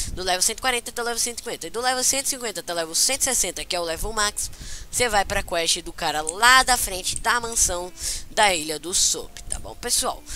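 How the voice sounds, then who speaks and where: Moderate-paced speech in a Brazilian accent. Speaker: gaming youtuber. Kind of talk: game tutorial. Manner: casual, halting with fillers.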